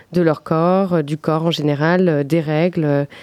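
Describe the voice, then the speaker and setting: A woman's very deep, low voice with a dark, mellow tone and monotone, flat intonation. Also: quiet background. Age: 30s. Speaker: festival organiser. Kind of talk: casual radio interview.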